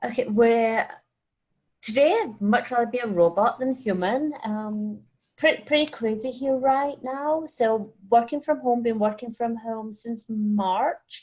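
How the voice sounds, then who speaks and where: A woman's fairly high voice in a Scottish accent. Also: ordinary pitch variation, fairly slow pace. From Scotland. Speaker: wine scientist. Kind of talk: webinar interview. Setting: video call from home.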